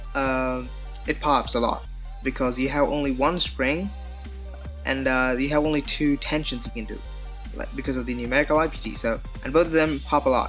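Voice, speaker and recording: Music plays in the background. The speech moves at a fairly quick pace, broken by long, frequent pauses. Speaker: speedcuber, puzzle reviewer. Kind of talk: casual talk to camera.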